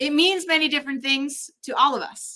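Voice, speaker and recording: A woman with a high pitch and a bright, sharp tone speaks in a raised, projected voice at a fairly quick pace. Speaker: drag performer and ministry student. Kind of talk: conference talk. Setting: conference with live and online audience.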